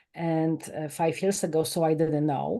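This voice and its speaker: A woman's dark, mellow tone with a Polish accent, over a quiet background. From Poland. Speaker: life coach and author. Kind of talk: podcast interview. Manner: animated.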